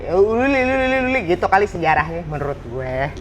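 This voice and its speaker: A woman races along at a very fast pace, her pitch swinging very widely, with noticeable background noise behind her. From Jakarta, Indonesia. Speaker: actress and former radio announcer. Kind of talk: casual chat. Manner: animated.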